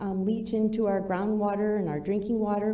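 A woman speaks at a medium pitch and a moderate pace. The room echo is audible. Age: 50s. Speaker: environmental advocate. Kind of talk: public comment at council meeting.

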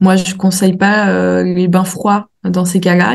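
A somewhat breathy woman at medium pitch and a moderate pace. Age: 20s. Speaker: naturopath. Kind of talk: interview.

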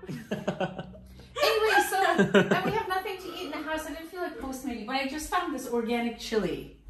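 Pitched high, a woman talks with hardly any pauses and big swings in loudness over noticeable background noise. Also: moderate pace. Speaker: YouTube vlogger and mother. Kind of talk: casual vlog chat. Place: home room. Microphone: phone near.

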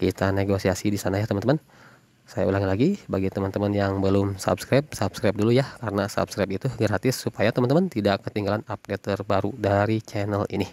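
This man has a fairly low pitch and an upbeat tone. He talks at a very fast pace in a dry sound with no echo. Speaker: orchid seller. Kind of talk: sales pitch. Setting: video recording of plants shown on camera. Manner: upbeat, fast-paced, repeating price and contact; warm, chatty, addressing viewers as friends. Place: garden. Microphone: phone near.

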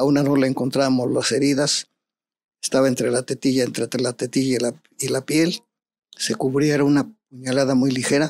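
The voice speaks in a flat monotone, and the sound is dry with no echo. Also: man, moderate pace. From Mexico. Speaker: private security expert; interview guest. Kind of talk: interview storytelling. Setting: studio. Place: studio. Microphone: studio mic.

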